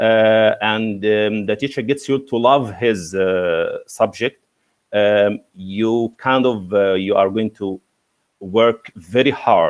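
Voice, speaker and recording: The speaker has an Egyptian accent and talks at a very slow pace. The intonation is fairly even. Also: man, fairly low pitch for a man. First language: Arabic. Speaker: English teacher. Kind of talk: interview. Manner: halting, many fillers.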